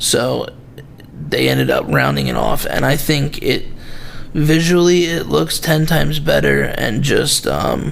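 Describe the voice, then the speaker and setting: In a room with audible echo and noticeable background noise, a man speaks at a very slow pace. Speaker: knife reviewer, video host. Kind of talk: casual product review. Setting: home video recording, late at night. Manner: halting, many fillers.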